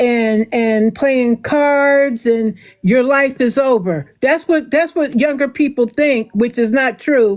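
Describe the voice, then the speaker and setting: A woman at a very slow pace, with ordinary pitch variation. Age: 60s. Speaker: livestream co-commentator. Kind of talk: casual chat.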